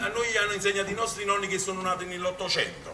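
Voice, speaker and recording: The voice belongs to a man. Room echo and noticeable background noise are both audible. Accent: Neapolitan. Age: middle-aged. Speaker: amateur theatre director. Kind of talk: stage speech to audience. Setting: stage with audience. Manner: halting.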